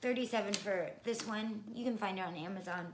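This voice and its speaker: A woman's fairly high voice with ordinary pitch variation, noticeable background noise and audible room echo. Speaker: nursing school applicant. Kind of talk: casual vlog advice. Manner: fast.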